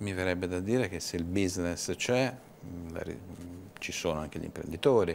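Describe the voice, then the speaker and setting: A man talks at a moderate pace in a very deep, low voice. His pitch varies in an ordinary way over light background noise. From Tuscany, Livorno; Tuscany. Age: 50s. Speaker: business association director; guest. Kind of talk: TV interview. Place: studio.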